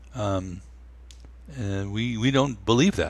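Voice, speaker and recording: Lively in intonation, a man with an American accent speaks in a fairly low voice with vocal fry. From New York. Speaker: meditation teacher and musician. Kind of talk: casual interview.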